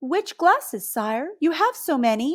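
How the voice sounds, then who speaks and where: A woman's squeaky put-on character voice, extremely high in pitch, with very wide pitch swings at a fairly slow pace. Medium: read story. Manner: deferential, easily flustered.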